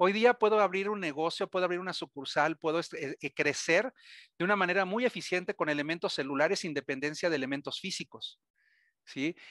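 A man with a Mexican accent, high-pitched with a bright, sharp tone, fairly quick pace and ordinary pitch variation, in a dry sound with no echo against a quiet background. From Mexico. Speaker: cybersecurity vendor presenter; presenter. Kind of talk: webinar presentation. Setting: webcast. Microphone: video call.

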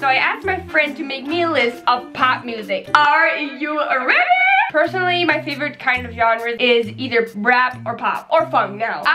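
Over clear music in the background, a woman projects a raised voice at a high pitch, with ordinary pitch variation and a moderate pace. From Netherlands. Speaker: YouTuber. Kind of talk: casual talk to camera. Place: home room.

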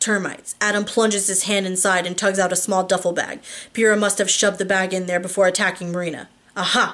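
Text is read aloud here. It comes in an unforced reading voice.

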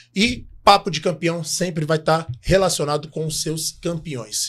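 Animated in tone, a man speaks at a moderate pace with a fairly high pitch and ordinary pitch variation. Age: 40s. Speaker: podcast co-host. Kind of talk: casual chat; sales pitch. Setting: studio. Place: studio. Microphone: studio mic.

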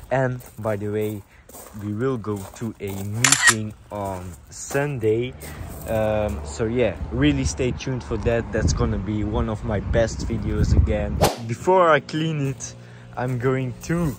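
A man speaks at a very slow pace. Loud background noise runs behind him. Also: dry sound with no echo. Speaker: car owner vlogger. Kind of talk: casual vlog chat. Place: street. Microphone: phone near.

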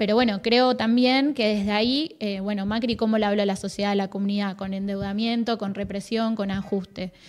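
A moderate pace with hardly any pauses. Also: woman. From Argentina. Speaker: provincial youth director, government official; guest. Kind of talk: casual interview chat. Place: studio. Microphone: studio mic.

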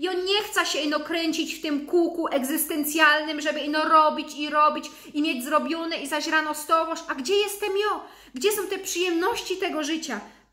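Against a quiet background, a woman with a Silesian accent uses a raised, projected voice that is extremely high, bright and sharp, with an animated tone. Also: ordinary pitch variation, moderate pace. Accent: Silesian-accented Polish. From Upper Silesia, Poland. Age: 30s. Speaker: lifestyle vlogger. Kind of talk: motivational vlog talk. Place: home room. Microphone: webcam.

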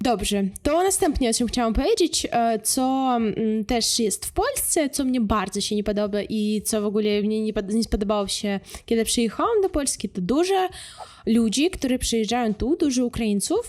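A woman talks at a moderate pace in an ordinary speaking voice. Her pitch sits fairly high. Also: lively intonation. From Ukraine. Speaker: vlogger. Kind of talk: casual talk to camera.

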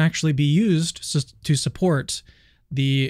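Against a quiet background, a man speaks with fairly even intonation. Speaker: channel host. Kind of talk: debate introduction to viewers. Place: home room. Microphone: studio mic.

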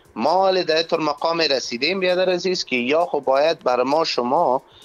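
Faint music plays in the background. A man with a fairly high pitch speaks with lively intonation. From Afghanistan. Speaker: MMA organization operations head; guest or talk show host. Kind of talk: phone interview debate. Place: studio. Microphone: lapel.

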